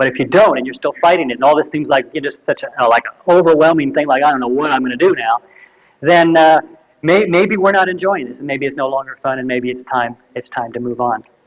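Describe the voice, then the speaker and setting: A man with a fairly high voice talks very fast, his pitch varying in an ordinary way. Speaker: natural food retail consultant. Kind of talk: workshop lecture.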